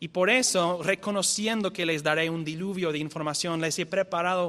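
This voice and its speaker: This man talks with a non-native accent and ordinary pitch variation. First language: not Spanish (speaking Spanish). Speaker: visiting theology lecturer. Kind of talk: lecture. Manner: halting, self-correcting.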